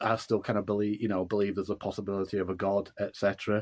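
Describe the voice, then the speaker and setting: Yorkshire accent from a man, on a very clean recording with a silent background. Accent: broad Yorkshire. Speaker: author and musician. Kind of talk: interview. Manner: halting.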